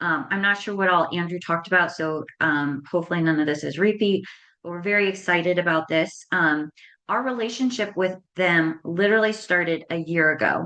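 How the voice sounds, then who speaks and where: Her pitch is fairly low for a woman. She shows ordinary pitch variation. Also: fairly quick pace. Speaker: nonprofit co-founder and rare disease parent advocate. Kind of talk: conference presentation. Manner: fast; frequent filler ums.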